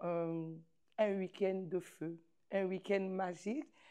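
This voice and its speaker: The voice has a dark, mellow tone, moving at a very slow pace with fairly even intonation. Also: woman. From Côte d'Ivoire. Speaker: community festival president. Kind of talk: interview.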